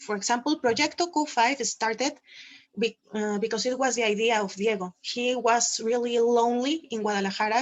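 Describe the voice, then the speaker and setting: At a moderate pace, a woman with a Spanish accent speaks in a fairly high voice with ordinary pitch variation. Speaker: quadball team organizer. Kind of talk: panel Q&A. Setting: video call.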